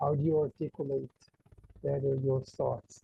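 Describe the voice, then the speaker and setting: In an Israeli accent, a man with a fairly high, somewhat breathy voice speaks. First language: Hebrew. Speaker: author. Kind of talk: interview. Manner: halting.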